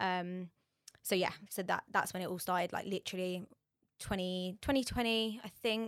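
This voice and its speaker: Recorded very cleanly against a silent background, a woman with a London accent speaks at a medium pitch and a moderate pace with fairly even intonation, the sound dry and close with no echo. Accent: London-area English. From southern England. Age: 20s. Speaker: beauty brand manager. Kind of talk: casual interview chat.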